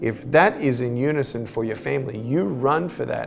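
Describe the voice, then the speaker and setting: Music plays in the background as a man speaks. His medium-pitched voice has lively intonation. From Australia. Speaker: motivational speaker. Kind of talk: motivational speech.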